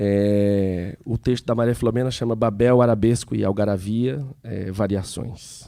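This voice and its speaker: A man with a Piauí accent speaks at a fairly slow pace with hardly any pauses, his fairly low voice dark and mellow with fairly even intonation. The recording is very clean, with a silent background. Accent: Piauí, northeastern Brazilian. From Brazil, Piauí. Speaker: seminar organizer. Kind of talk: seminar talk.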